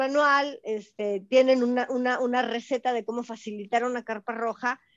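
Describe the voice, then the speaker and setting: A woman's high-pitched voice, fairly even in intonation, at a fairly slow pace. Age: 50s. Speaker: spiritual teacher. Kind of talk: interview.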